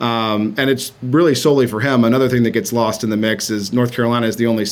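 At a very fast pace, a man speaks with fairly even intonation. Noticeable background noise is present. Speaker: campaign manager. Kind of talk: interview.

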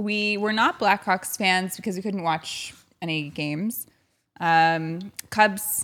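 Here a woman with an American accent speaks at a medium pitch in an ordinary speaking voice. Her pace is fairly slow and her intonation fairly even. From Chicago. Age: 30s. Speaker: sports broadcaster. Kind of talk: casual chat.

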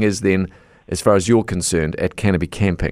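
Man with a New Zealand accent at a fairly quick pace. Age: 50s. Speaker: radio host. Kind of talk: radio interview.

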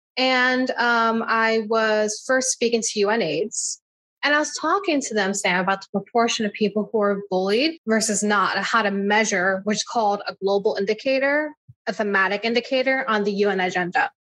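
Using an ordinary speaking voice, a woman with a fairly high pitch and ordinary pitch variation speaks at a moderate pace. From US Northeast, New Jersey Shore. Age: 30s. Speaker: civil rights activist and nonprofit founder. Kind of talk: interview.

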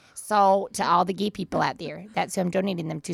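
A woman with an Upper Midwest accent talks at a fairly quick pace. The sound is dry and close, with no echo. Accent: Upper Midwest American. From Minnesota, US. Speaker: host's mother. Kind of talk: casual interview.

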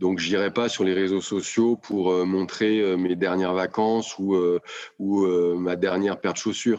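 Very deep and low, this man's voice moves at a fairly slow pace. His intonation stays fairly even. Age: 50s. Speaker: business executive. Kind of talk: interview.

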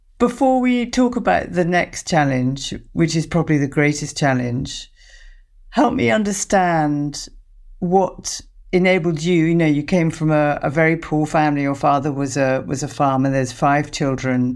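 A woman's very deep, low voice with a British accent, lively intonation and very even loudness. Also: moderate pace. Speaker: psychotherapist and podcast host. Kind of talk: interview, empathetic conversation.

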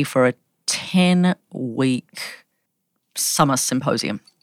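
A woman with an American accent speaks in a very deep, low pitch, recorded very cleanly against a silent background with a dry, close sound and no echo. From Australia. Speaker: anthropologist. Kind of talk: interview conversation.

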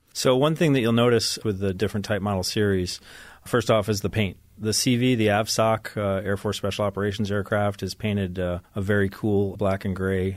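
In an American accent, a normal speaking voice moves at a fairly quick pace with fairly even intonation, on a very clean recording with a silent background. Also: man, fairly low pitch for a man. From upstate New York, Ithaca. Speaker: naval aviator, wing commander. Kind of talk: interview. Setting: studio.

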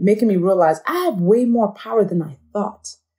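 This woman's medium-pitched voice is somewhat breathy, with a dark, mellow tone and lively intonation. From Nigeria. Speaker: author and speaker. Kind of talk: interview conversation.

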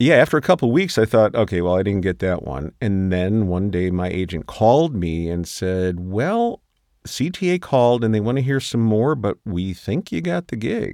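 A man's unremarkable speaking voice, fairly low in pitch, with lively intonation, a moderate pace, hardly any pauses and a quiet background. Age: 60s. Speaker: voice actor. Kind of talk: casual chat. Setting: studio.

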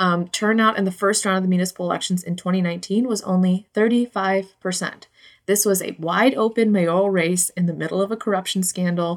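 Using an ordinary speaking voice, a woman talks at a fairly quick pace and medium pitch with hardly any pauses. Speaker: newspaper reporter. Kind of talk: casual chat.

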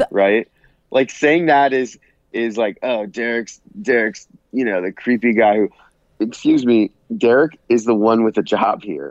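A plain, everyday voice from a man, medium in pitch, with ordinary pitch variation, a fairly slow pace, and a dry, close sound with no echo. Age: 30s. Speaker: podcast co-host, former reality TV contestant. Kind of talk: casual chat. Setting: remote call from vacation.

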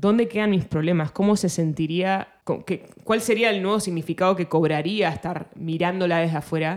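In a normal speaking voice, a woman talks at a fairly low pitch with very even loudness and ordinary pitch variation. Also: moderate pace. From Argentina. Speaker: singer-songwriter. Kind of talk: casual interview chat.

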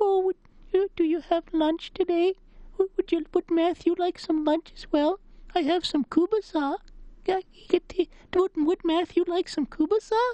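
Delivered at a fairly slow pace, this put-on character voice sits at an extremely high pitch. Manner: sweet, doting.

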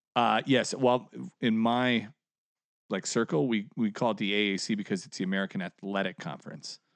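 Speaking in an unremarkable speaking voice, a man holds a fairly low pitch with ordinary pitch variation at a moderate pace. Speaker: comedian. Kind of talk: casual chat.

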